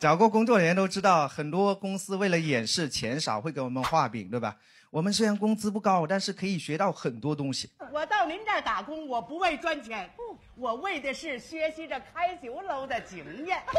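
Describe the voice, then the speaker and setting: A high-pitched man talks at a moderate pace with very wide pitch swings. Light background noise is present. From Guangxi, China. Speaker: stand-up comedian. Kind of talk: stand-up. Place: stage. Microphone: handheld.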